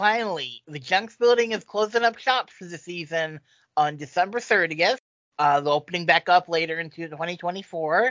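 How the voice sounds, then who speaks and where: A woman's voice, a plain, everyday voice, fairly low in pitch, with lively intonation, big swings in loudness and a moderate pace. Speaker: podcast host. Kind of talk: casual group chat podcast.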